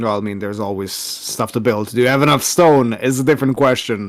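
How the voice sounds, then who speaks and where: The recording is very clean, with a silent background. A man talks with a non-native accent. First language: not English. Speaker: strategy game player. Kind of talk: casual gameplay chat.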